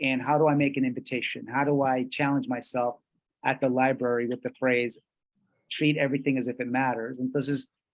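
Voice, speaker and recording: A man with a Spanish accent talks at a fairly quick pace in a monotone, flat intonation. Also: medium pitch for a man. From Colombia (Bogotá). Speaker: workshop presenter. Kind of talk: bilingual workshop lecture. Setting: video call.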